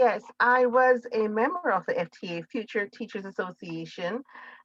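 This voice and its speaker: A woman reads at a fairly slow pace in a bright, sharp tone with ordinary pitch variation, the sound dry and close with no echo. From Jamaica. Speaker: teacher, college alumna panelist. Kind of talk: virtual panel discussion. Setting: video call.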